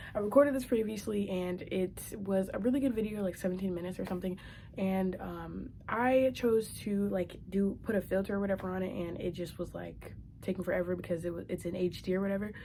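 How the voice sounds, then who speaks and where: Her dark, mellow tone is somewhat breathy as the woman talks at a fairly quick pace with medium pitch and fairly even intonation. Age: young. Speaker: vlogger. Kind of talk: casual vlog monologue. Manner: fast; halting, many fillers.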